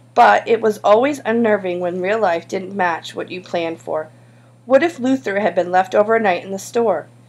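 The speaker is reading aloud plainly, with ordinary pitch variation.

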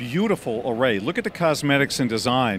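The man talks at a fairly quick pace. The sound is dry with no echo, and there is light background noise. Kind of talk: interview answer. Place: hall. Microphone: handheld.

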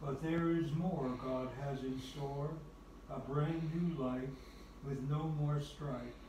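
Speaking at a very slow pace with fairly even intonation, a man is heard through noticeable background noise and audible room echo. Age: 80s+; old. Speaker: elderly man reading a poem. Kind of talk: poetry reading. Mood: gentle, devotional. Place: home room.

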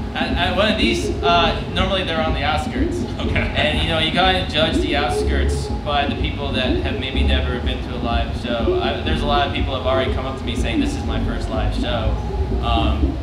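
A man talks at a fairly quick pace. Loud background noise and audible room echo fill the recording. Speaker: band member on panel. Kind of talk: interview answer. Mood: relaxed, animated. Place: tent. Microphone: handheld.

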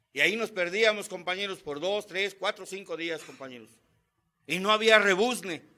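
A man with a high pitch and a Mexican accent speaks in a raised, projected voice at a moderate pace, his animated tone bright and sharp, with ordinary pitch variation and big swings in loudness. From Mexico. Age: 50s. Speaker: Alcoholics Anonymous member. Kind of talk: testimony. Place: meeting room. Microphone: podium.

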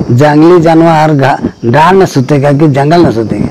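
A man speaks at a very slow pace with a fairly high pitch. Light background noise runs underneath. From Jharkhand, India. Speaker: environmentalist. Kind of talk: interview answer. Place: home room.

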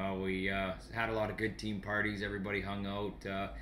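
This man has a bright, sharp tone and a Canadian accent. Light background noise can be heard. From Sault Ste. Marie, Ontario, Canada; Ontario. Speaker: junior hockey goalie and goalie instructor; goalie instructor. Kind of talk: casual radio interview chat. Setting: radio studio. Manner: easygoing, laughing, jokey. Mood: relaxed, friendly. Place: home room. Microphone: webcam.

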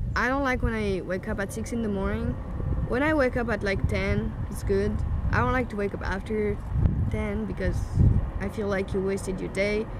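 A French accent in a dry sound with no echo, under loud background noise. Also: woman, moderate pace. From France. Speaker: YouTuber. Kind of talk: casual chat. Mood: relaxed, thoughtful. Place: garden.

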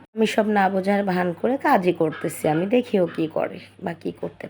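The woman's medium-pitched voice varies in an ordinary way against noticeable background noise. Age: 20s. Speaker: storyteller. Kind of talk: first-person storytelling.

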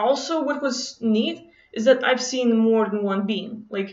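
A woman with a non-native accent speaks at a high pitch, using ordinary pitch variation. The background is quiet, though there is audible room echo. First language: not English. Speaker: vlogger. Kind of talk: casual monologue to camera, personal story. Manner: casual, hesitant with many fillers. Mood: relaxed, enthusiastic storytelling. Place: home room. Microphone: webcam.

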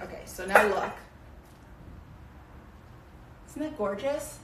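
The recording has audible room echo and light background noise. A woman is speaking. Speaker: cooking teacher. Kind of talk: tutorial. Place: kitchen. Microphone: camera far.

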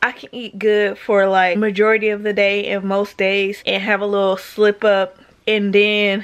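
Here a woman speaks at a moderate pace in a monotone, flat intonation. The background is quiet. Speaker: vlogger. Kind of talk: casual vlog chat. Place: home room. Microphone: phone near.

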